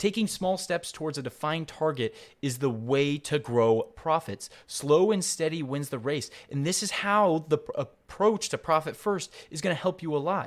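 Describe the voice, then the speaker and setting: A plain, everyday voice with lively intonation moves at a moderate pace. The recording is very clean, with a silent background. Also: man. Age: young. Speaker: podcast host. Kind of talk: solo podcast monologue on a business book.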